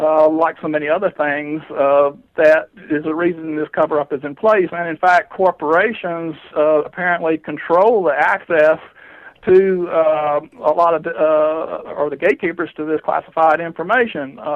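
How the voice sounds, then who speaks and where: Speaking in a Southern US accent, a man keeps a moderate pace and a fairly high pitch. His intonation stays fairly even. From US South, southwestern Georgia. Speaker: UFO investigator. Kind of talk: interview. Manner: halting, many fillers.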